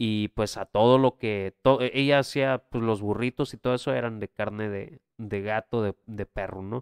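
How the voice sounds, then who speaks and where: A man's medium-pitched, unremarkable speaking voice at a fairly slow pace with fairly even intonation, hardly any pauses, and a very clean recording with a silent background. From Mexico, Tijuana. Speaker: podcast co-host. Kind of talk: casual chat.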